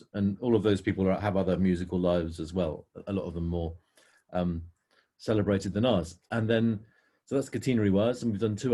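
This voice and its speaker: At a very fast pace, a man with a fairly low pitch speaks with fairly even intonation in a somewhat breathy voice of dark, mellow tone. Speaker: indie pop musician. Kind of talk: casual interview.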